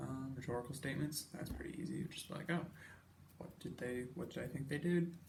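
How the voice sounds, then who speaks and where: A man is whispering. His pace is moderate. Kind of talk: casual talk about project plans. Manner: whispered; rambling.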